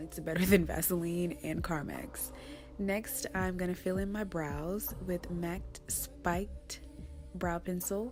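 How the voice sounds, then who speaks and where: Music plays in the background as a woman speaks at a very slow pace. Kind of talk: makeup tutorial voiceover. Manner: low energy.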